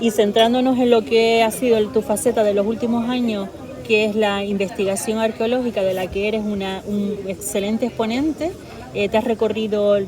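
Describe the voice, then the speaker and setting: Amid noticeable background noise, a woman speaks at a moderate pace with fairly even intonation. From Canary Islands. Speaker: interviewer. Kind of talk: interview.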